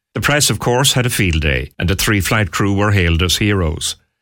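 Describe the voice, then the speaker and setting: On a very clean recording with a silent background, a man with an Irish accent speaks at a fairly low pitch with lively intonation. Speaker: radio host. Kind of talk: radio show presenting an interview special.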